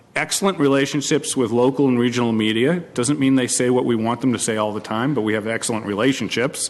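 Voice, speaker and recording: Over noticeable background noise, a man with an American accent talks at a fairly quick pace, medium in pitch with ordinary variation. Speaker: county manager. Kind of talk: formal tribute remarks at public board meeting. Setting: public board meeting.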